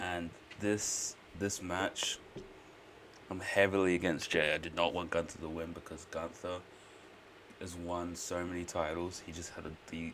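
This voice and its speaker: With an Australian accent, a man speaks in a very deep, low voice and a monotone, flat intonation at a moderate pace, leaving long, frequent pauses while his loudness swings widely. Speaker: streamer. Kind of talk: live stream reaction commentary. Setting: at home, live stream. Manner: quiet, keeping voice down; casual, filler-heavy.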